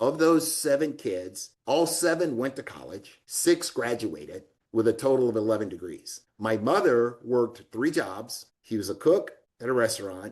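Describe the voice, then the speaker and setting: A man with an ordinary speaking voice at a moderate pace. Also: medium pitch for a man, lively intonation. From US South, Alabama (Florence). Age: 60s. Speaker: real estate executive, retired army colonel. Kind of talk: interview. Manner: conversational, uses fillers.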